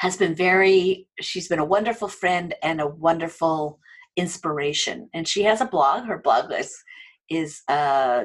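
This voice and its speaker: With a normal speaking voice, a woman talks at a fairly slow pace and a fairly low pitch. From United States. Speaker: online training entrepreneur and adjunct faculty. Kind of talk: interview.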